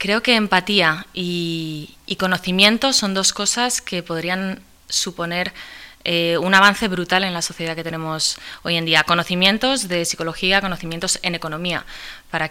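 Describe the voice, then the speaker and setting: This woman's voice is fairly low in pitch and shows ordinary pitch variation. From Spain. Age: 20s. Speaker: activist. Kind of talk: interview. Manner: halting, frequent repetitions.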